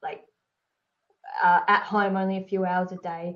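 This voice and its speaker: In an Australian accent, a woman talks at a medium pitch with monotone, flat intonation. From Tasmania, Australia. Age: 30s. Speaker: entrepreneur. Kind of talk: casual interview chat.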